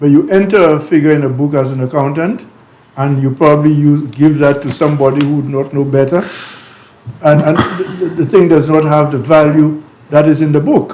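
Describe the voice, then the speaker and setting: With audible room echo and noticeable background noise, a man talks at a fairly quick pace and a fairly high pitch with fairly even intonation. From Saint Lucia. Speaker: talk show co-host. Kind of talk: casual chat.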